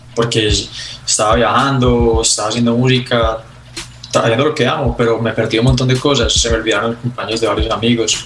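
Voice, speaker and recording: A man speaks at a medium pitch and a fairly quick pace, in a monotone, flat intonation. Audible room echo and noticeable background noise fill the recording. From Colombia, Medellín. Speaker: singer-songwriter. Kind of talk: interview conversation.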